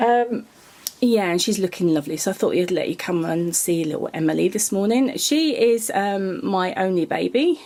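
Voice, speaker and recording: A woman speaks at a moderate pace with a British accent. Her intonation is lively. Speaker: reborn doll artist and vlogger. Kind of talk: casual vlog. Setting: home nursery workshop. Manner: hesitant with many ums.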